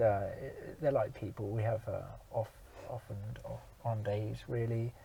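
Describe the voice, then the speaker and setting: Lively intonation marks a man's speech in a British accent. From Germany, moved to UK at about eleven. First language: German. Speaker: actor and outdoor activity worker. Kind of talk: casual interview chat. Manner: hesitant, many ums and uhs.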